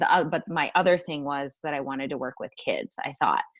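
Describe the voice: Speaking at a fairly quick pace, a woman lets her pitch vary in an ordinary way.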